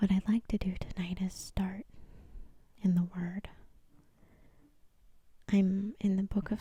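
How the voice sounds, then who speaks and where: At a very slow pace, a woman with a medium pitch speaks in monotone, flat intonation, with a dark, mellow tone and a somewhat breathy sound. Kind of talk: soft-spoken Bible reading and reflection. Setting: studio, ASMR-style recording. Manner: soft-spoken, relaxing.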